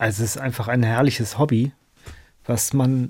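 A very clean, silent-background recording of a man with a dark, mellow tone. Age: 50s. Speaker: mandolinist and mandolin teacher. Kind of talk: casual radio interview.

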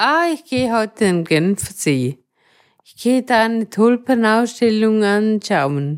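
At a very slow pace, a woman with a fairly high pitch talks with very wide pitch swings. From Switzerland, rural Thurgau. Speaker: wheelchair user, cooperative resident. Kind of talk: interview.

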